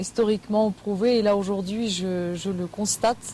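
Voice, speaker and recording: A woman's fairly high voice with a slight Russian accent, at a very slow pace with fairly even intonation. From Russia, Urals. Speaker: singer and choir workshop leader. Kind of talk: live TV interview. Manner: halting, searching for words.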